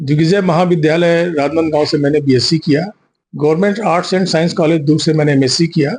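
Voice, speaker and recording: In a plain, everyday voice, a man with fairly high pitch speaks at a moderate pace, his intonation fairly even and his loudness very even. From Chhattisgarh, India. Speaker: poet and writer. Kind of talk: interview.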